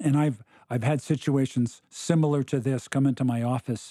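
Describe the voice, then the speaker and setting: Dry and close with no echo, a man with an American accent speaks in a dark, mellow tone at a medium pitch and moderate pace, his intonation fairly even. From United States. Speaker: pastor. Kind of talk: casual discussion on ministry. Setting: studio, across the table.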